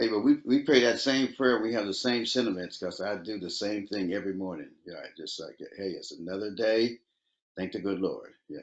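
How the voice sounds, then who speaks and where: An unremarkable speaking voice from a man, fairly low in pitch, moderate in pace, with ordinary pitch variation and big swings in loudness. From Oakland, California. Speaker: R&B soul singer. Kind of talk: interview answer. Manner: relaxed, conversational.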